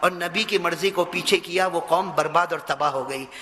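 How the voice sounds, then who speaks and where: A man talks in a raised, projected voice with a passionate tone while noticeable background noise runs underneath. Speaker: Islamic preacher. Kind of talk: Islamic sermon (bayan) to a live audience. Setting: mosque address with audience responding. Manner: passionate, rhetorical, asking the audience questions.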